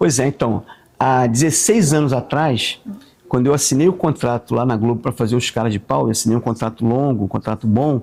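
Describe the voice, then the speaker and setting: Using an unremarkable speaking voice, a man talks at a fairly quick pace with medium pitch and ordinary pitch variation. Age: 60s. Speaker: actor and comedian. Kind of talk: casual chat.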